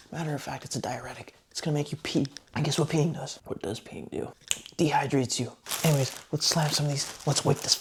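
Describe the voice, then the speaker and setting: Over noticeable background noise, a man talks fairly quickly at a fairly high pitch, his intonation fairly even. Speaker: vlogger. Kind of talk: casual vlog talk.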